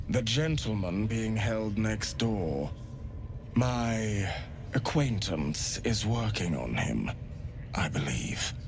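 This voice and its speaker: Putting on a character voice, a man speaks at a very slow pace with a fairly low pitch over loud background noise. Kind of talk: elegant, formal speech. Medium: video game. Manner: polite, silky, unsettling.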